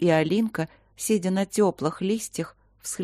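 Ordinary pitch variation in plain reading aloud

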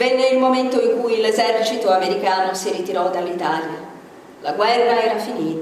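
With ordinary pitch variation, the clip consists of reading aloud in a natural voice.

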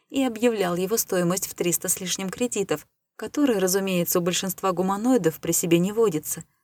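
Ordinary pitch variation in plain reading aloud, quiet background behind it

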